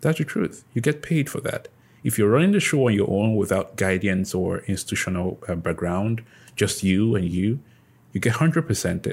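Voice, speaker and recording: A man with a fairly low pitch speaks at a moderate pace in a somewhat breathy voice. His intonation is lively, and the recording is very clean, with a silent background. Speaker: podcast host. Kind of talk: casual interview chat.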